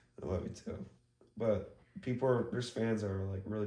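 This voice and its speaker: A somewhat breathy voice with a dark, mellow tone moves at a fairly quick pace with fairly even intonation, and audible room echo surrounds it. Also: man. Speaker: podcast co-host. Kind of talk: casual chat.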